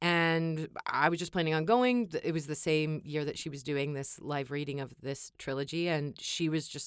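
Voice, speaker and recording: A woman with an American accent speaks at a very deep, low pitch on a very clean recording with a silent background. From Kansas, US. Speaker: audiobook narrator. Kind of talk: casual interview chat. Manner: animated, enthusiastic.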